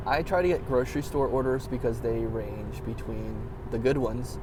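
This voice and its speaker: A man's voice carries audible room echo along with noticeable background noise. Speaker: vlogger and delivery driver. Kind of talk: casual vlog storytelling. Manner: fast; animated.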